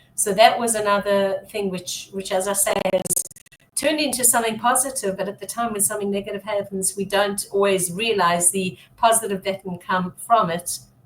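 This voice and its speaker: This woman talks at a fairly quick pace in an ordinary speaking voice. Her pitch is medium, with ordinary pitch variation. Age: 60s. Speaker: business strategist and branding coach. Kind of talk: interview.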